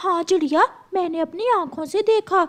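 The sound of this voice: A cartoonish character voice, female-sounding and pitched extremely high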